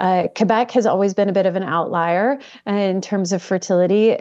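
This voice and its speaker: Speaking at a fairly quick pace, a woman has a dark, mellow tone and ordinary pitch variation. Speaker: demographer. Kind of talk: expert interview.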